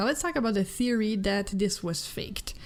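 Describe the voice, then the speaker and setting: A woman speaks at a medium pitch in a French-Canadian accent. The recording is very clean, with a silent background. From Quebec, Canada. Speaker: gaming news youtuber. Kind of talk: casual gaming commentary. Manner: animated.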